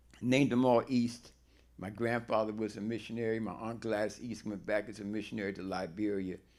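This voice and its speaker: A man talking at a fairly quick pace, fairly low-pitched, with monotone, flat intonation. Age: 80s+. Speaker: audience member, former educator. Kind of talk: audience question.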